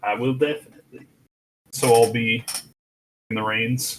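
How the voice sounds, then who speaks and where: A man puts on a character voice at a medium pitch. He speaks at a moderate pace with monotone, flat intonation. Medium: actual play. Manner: folksy, drawling.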